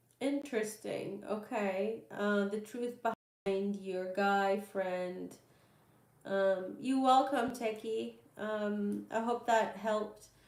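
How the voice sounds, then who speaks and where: At a very slow pace, a woman with a medium pitch speaks with fairly even intonation amid audible room echo. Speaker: tarot reader. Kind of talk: live stream Q&A reading. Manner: hesitant, many fillers.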